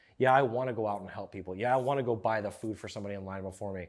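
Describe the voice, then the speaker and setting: In an American accent, a man speaks very fast at a medium pitch with fairly even intonation, on a very clean recording with a silent background. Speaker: podcast host. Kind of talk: solo podcast monologue.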